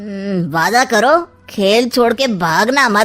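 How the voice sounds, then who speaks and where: A woman puts on a cartoonish character voice at a fairly high pitch. She talks very slowly with lively intonation. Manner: sly, sarcastic.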